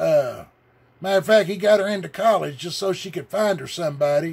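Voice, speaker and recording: A man talks with a Southern US accent. His pitch is high, with ordinary variation. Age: 60s. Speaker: religious video blogger. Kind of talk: rant. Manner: animated.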